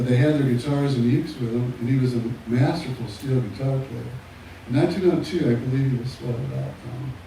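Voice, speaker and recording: Amid noticeable background noise and audible room echo, a man talks at a fairly quick pace with fairly even intonation and long, frequent pauses. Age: 70s. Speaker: slack key guitarist. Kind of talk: live performance banter.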